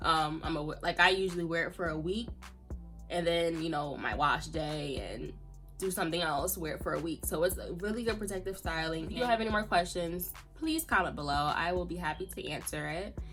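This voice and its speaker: Music sounds in the background. Over it, a woman speaks fairly quickly. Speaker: natural hair YouTuber. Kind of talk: casual talk to camera. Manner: casual, chatty.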